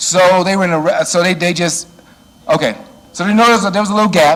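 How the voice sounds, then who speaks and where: Loud and very fast, a man with an American accent speaks at a high pitch with ordinary pitch variation, amid audible room echo and noticeable background noise. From Chicago, US Midwest. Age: 60s. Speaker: church security trainer. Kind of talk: lecture. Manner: animated.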